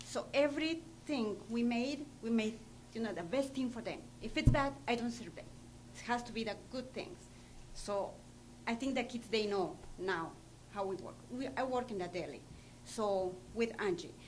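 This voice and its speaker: A woman's fairly high voice with a non-native accent and vocal fry, at a moderate pace with long, frequent pauses, plus audible room echo. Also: lively intonation. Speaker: school cafeteria worker. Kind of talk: public comment at board meeting. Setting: school board meeting. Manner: halting.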